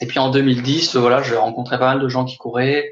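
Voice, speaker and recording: Noticeable background noise sits behind a man talking at a fairly quick pace and a medium pitch. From France, Haute-Savoie. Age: 30s. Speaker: trail runner. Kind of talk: interview. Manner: halting.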